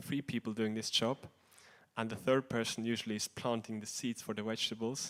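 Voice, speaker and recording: In a very clean recording with a silent background, a man talks at a fairly quick pace with a non-native accent. His medium-pitched voice is monotone, with flat intonation. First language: not English. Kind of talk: religious class talk. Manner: halting, many fillers.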